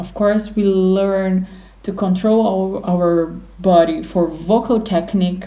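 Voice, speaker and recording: A woman with a Portuguese accent speaks at a very slow pace in a medium pitch with a dark, mellow tone. Her intonation is fairly even, and the room echo is audible. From Brazil. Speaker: opera singer. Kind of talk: interview. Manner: halting.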